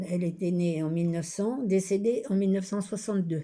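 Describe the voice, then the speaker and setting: This woman has a dark, mellow tone that is somewhat breathy. Her pitch variation is ordinary. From France, Loiret (Centre-Val de Loire). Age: 90s. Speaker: retired shop worker interviewed for an art project. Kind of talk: oral memoir / testimony.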